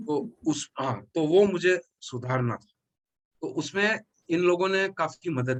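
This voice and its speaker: With lively intonation and big swings in loudness, a man talks in a high pitch, recorded with a dry, close sound with no echo. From Mumbai, India. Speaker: actor. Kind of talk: interview. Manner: halting.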